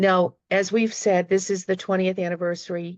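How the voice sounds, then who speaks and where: With a Boston accent, a woman speaks at a moderate pace in a fairly low pitch. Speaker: retired teacher, panelist. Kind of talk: panel discussion remarks. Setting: video call.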